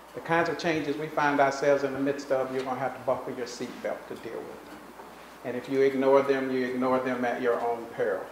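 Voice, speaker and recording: Speaking at a very fast pace, a man has a fairly high pitch and a monotone, flat intonation. Noticeable background noise and audible room echo surround the voice. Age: 60s. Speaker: professor. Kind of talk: keynote lecture.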